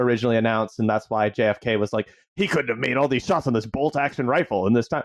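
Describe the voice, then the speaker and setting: The sound is dry and close with no echo as a man speaks at medium pitch with ordinary pitch variation. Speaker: recurring guest correspondent. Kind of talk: casual chat. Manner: loud.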